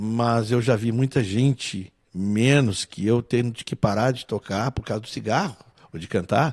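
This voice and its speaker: A man speaks at a medium pitch with ordinary pitch variation. The sound is dry and close with no echo, against a quiet background. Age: 60s. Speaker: musician and singer. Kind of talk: interview conversation.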